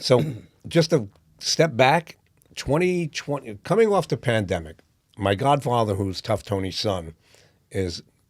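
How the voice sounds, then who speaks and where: With a New York accent, a man at medium pitch swings his pitch very widely and leaves long, frequent pauses. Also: fairly slow pace, very clean recording, silent background. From New York (Brooklyn, Yonkers). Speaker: boxing promoter, playwright, former corrections officer. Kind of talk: interview answer.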